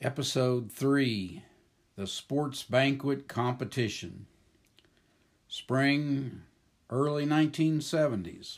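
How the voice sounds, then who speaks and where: The man's delivery is very slow, with long, frequent pauses. His pitch shows ordinary variation. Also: fairly high pitch for a man. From Oklahoma. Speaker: retired teacher and school principal. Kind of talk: scripted narration.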